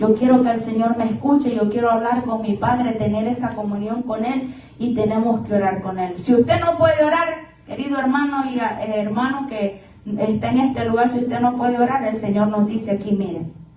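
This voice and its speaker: Over noticeable background noise and audible room echo, a woman talks at a fairly quick pace in a fairly high voice with ordinary pitch variation. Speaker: preacher. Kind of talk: sermon. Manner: loud.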